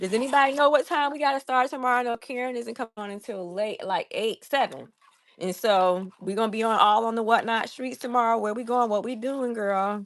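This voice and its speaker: Fairly high in pitch, a woman speaks in an animated tone with ordinary pitch variation. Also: fairly quick pace. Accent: Southern US. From US South, Savannah, Georgia. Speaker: crafting livestreamer. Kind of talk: casual livestream chat while crafting.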